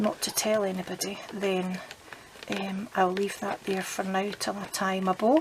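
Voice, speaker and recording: Noticeable background noise sits behind a woman with a Scottish accent. She speaks at a fairly slow pace with a medium pitch. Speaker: papercraft demonstrator. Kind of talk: crafting tutorial. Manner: casual, chatty; speaking quietly.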